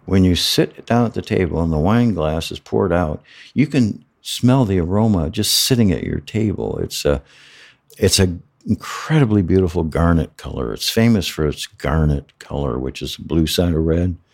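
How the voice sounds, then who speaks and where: Lively intonation from a man with a very deep, low pitch and a Midwestern American accent. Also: moderate pace. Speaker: former winemaker. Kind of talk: interview. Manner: halting.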